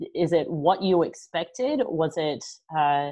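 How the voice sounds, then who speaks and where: A woman speaks in an Australian accent with lively intonation. Her pitch is fairly low. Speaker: interview host and goaltender development manager. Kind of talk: interview.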